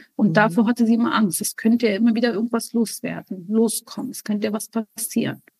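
With an Arabic accent, the speaker races at a very fast pace with hardly any pauses, somewhat breathy and fairly even in intonation, in a dry, close sound with no echo. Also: woman, fairly high pitch for a woman. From Germany, raised from age three, born in Lebanon. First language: Arabic (speaking German). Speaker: spiritual guest, mother. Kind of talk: personal testimony interview.

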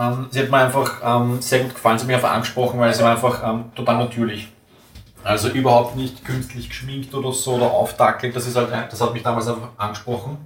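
Very fast and monotone, a man with an Austrian accent speaks at a medium pitch with flat intonation. Audible room echo and noticeable background noise fill the recording. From Vienna, Austria. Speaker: tool-making technician. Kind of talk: casual interview.

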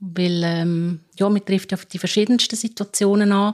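A woman with a Swiss accent speaks at a moderate pace and medium pitch in a monotone, flat intonation, on a very clean recording with a silent background. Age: 50s. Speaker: care assistant. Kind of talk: interview.

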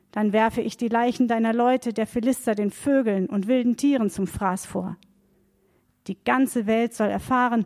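A woman's fairly high voice with a dark, mellow tone, at a moderate pace, in a dry, close sound with no echo. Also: very clean recording, silent background. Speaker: reader of Bible text. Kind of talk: reading aloud.

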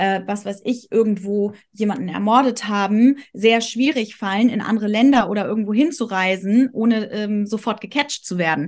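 In an ordinary speaking voice, a woman with a medium pitch talks at a moderate pace with ordinary pitch variation over a quiet background. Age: 30s. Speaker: astrologer. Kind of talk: casual chat.

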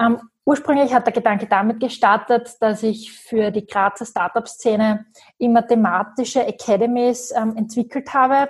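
A plain, everyday voice from a woman, fairly high in pitch, at a moderate pace with very even loudness. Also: fairly even intonation. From Austria, Graz. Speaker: business coach. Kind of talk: interview.

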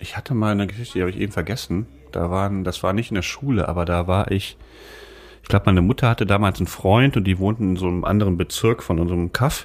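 Fairly low in pitch, a man rattles along at a very fast pace. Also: ordinary pitch variation. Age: 40s. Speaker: podcast co-host, author. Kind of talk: casual chat.

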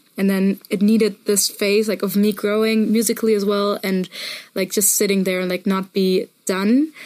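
A woman talks at a moderate pace in a medium-pitched, monotone, flat voice. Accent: German. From Germany, Munich area. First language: German. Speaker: musician. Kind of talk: interview.

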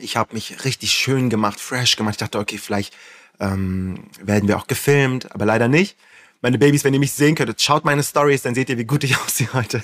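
A man with an ordinary speaking voice at a fairly quick pace, with ordinary pitch variation. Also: medium pitch for a man. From northern Germany, Flensburg. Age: 30s. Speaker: influencer. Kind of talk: casual chat.

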